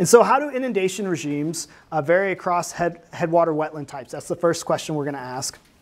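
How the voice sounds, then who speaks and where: This man talks at a very fast pace with hardly any pauses. His pitch is high, with ordinary pitch variation and big swings in loudness. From Arkansas. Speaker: university researcher; speaker. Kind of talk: lecture. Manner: halting. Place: classroom. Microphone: lapel.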